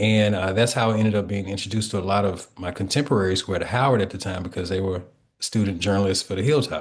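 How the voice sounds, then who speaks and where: A man's fairly low, somewhat breathy voice in an Alabama accent, very fast in pace with fairly even intonation, over a quiet background. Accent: Southern US (Alabama). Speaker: historian and author. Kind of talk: author interview.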